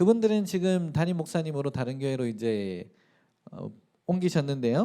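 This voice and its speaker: A man's fairly high, dark and mellow voice in a strong Gyeongsang accent, with very wide pitch swings. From South Korea, Daegu (Gyeongsang). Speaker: pastor. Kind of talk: sermon.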